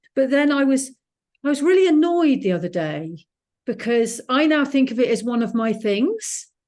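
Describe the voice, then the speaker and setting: A woman's high voice with very wide pitch swings, very even loudness and a moderate pace. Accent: English. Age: 60s. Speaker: author. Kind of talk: casual chat.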